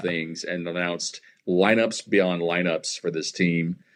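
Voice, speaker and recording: At a fairly slow pace, a man talks in a very deep, low pitch with big swings in loudness. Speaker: baseball stadium public address announcer. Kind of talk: casual interview answer. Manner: conversational, hesitant with filler words.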